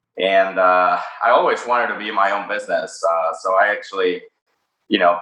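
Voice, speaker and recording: In a Spanish accent, a man speaks at a moderate pace with audible room echo. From Mexico City, Mexico. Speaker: cannabis company founder. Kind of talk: interview. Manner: hesitant, many fillers.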